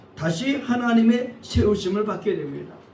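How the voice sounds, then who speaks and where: Over noticeable background noise and audible room echo, a man speaks at an extremely high pitch, fairly slowly, with ordinary pitch variation. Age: 60s. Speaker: pastor. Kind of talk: sermon. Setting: church.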